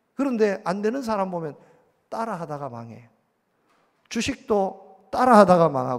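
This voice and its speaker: Leaving long, frequent pauses, a man speaks at a fairly slow pace in a high voice with very wide pitch swings and big swings in loudness. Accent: strong Gyeongsang. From Gyeongsang region, South Korea. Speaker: pastor. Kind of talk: sermon. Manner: animated.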